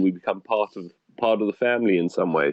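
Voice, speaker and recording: This man speaks with a South African accent at a fairly low pitch. His pace is fairly quick and his intonation fairly even. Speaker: hotel deputy manager. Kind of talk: podcast interview.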